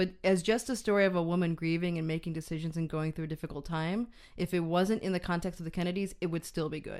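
In a very clean recording with a silent background, a woman with fairly low pitch speaks in an ordinary speaking voice with fairly even intonation. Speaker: film podcast co-host. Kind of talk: casual chat.

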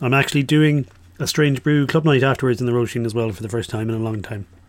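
With an Irish accent, a man speaks at a very fast pace in a medium pitch with ordinary pitch variation. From Ireland. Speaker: radio DJ. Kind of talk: radio music show presenting. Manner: casual, hesitant with fillers.

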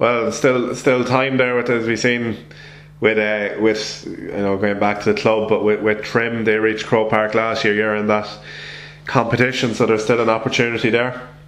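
Over noticeable background noise and audible room echo, a man with an Irish accent speaks in a monotone, flat intonation. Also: medium pitch for a man, moderate pace. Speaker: sports podcast host. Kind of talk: casual interview.

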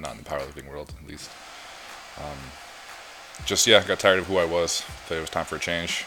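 A quiet man's voice, very deep and low, at a moderate pace, with noticeable background noise. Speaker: podcast guest, powerlifter. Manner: quiet, speaks at low volume.

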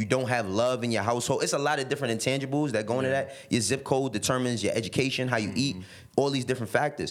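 A man with a New York accent talks at a very fast pace and a medium pitch. His intonation stays fairly even, with noticeable background noise behind him. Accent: New York City. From New York City, the Bronx and Harlem. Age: 30s. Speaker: music industry executive. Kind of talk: casual chat.

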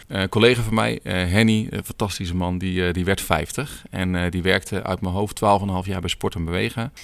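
Hardly pausing at all, a man talks in a very deep, low voice. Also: ordinary pitch variation, moderate pace. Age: 30s. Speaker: teacher and filmmaker. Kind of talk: casual interview. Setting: sports hall. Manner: hesitant, many fillers.

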